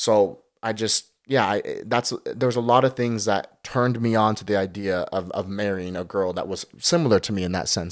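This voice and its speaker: A man with an American accent and a fairly low pitch speaks at a moderate pace with hardly any pauses and ordinary pitch variation. It is a plain, everyday voice on a very clean recording with a silent background. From Utah. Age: 20s. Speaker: professional ballroom dancer. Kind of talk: casual chat.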